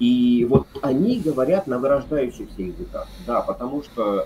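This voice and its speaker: A man's lively intonation at a fairly slow pace, with light background noise. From Yakutia, Russia (Yakutsk); Yakutia, Russia. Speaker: history lecturer. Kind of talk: casual chat. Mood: relaxed, chatty. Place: home room. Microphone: video call.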